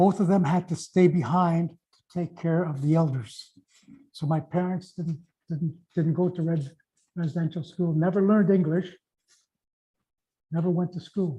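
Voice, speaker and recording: A man talks at a high pitch in a dark, mellow tone. His intonation is fairly even, broken by long, frequent pauses. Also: moderate pace. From northern Ontario First Nations community. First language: Oji-Cree or other First Nations language. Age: 70s. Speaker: pastor. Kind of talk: talk to audience. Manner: halting, repeats words.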